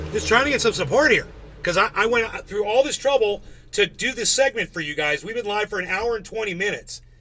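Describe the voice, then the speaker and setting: A man with high pitch talks very fast in a raised, projected voice, his tone bright and sharp and his intonation lively. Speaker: live streamer. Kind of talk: live stream commentary. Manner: animated; loud. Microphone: distorting from yelling.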